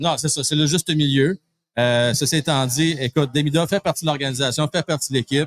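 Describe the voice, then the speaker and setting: A man with a fairly high pitch speaks at a fairly quick pace, his intonation fairly even and loudness very even, in a dry, close sound with no echo. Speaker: hockey show host. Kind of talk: live pre-game sports talk. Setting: live broadcast from a pub. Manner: fast.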